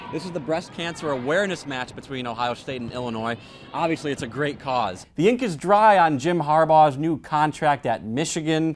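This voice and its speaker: Over noticeable background noise, a man with a fairly high pitch talks at a moderate pace with lively intonation and hardly any pauses. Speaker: sports reporter and anchor. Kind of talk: sports broadcast highlights reel.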